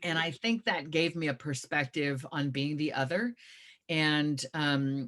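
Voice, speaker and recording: In an American accent, a woman talks at a fairly slow pace with a very deep, low pitch. The sound is dry and close with no echo, and her loudness stays very even. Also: ordinary pitch variation. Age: 50s. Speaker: author and activist. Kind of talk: interview conversation.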